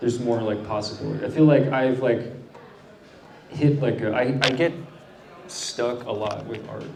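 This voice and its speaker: A man with fairly even intonation and long, frequent pauses at a moderate pace, with audible room echo and noticeable background noise. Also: medium pitch for a man. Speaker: artist and musician. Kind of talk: interview. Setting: brewery gallery with audience. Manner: loud; halting.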